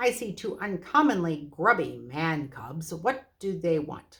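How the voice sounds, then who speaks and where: The speaker uses a put-on character voice at a middle pitch. The delivery is fairly slow. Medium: read story. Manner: gruff, brusque.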